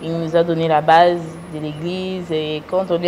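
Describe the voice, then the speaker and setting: Noticeable background noise runs under a woman's fairly low voice. She talks at a fairly slow pace with fairly even intonation. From United States. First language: English (speaking French). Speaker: businesswoman. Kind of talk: interview. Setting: studio. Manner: halting.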